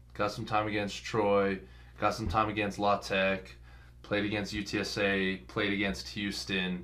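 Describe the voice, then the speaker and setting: This man speaks at a fairly slow pace in an American accent, his tone bright and sharp. Audible echo from the room surrounds his voice. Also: fairly low pitch for a man, ordinary pitch variation. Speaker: college football player. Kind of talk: interview.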